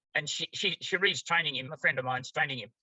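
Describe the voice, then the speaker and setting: Speaking at a very fast pace, a man talks with an Australian accent. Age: 90s. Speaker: therapy method trainer. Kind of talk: interview.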